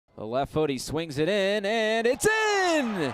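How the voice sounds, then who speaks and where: Very slow, unhurried male speech against noticeable background noise. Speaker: sports play-by-play announcer. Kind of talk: soccer and bike race commentary.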